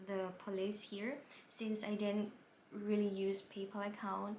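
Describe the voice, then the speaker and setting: With a non-native accent, a woman talks at a fairly slow pace amid audible room echo. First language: not English. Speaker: vlogger, plant buyer. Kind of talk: personal story vlog.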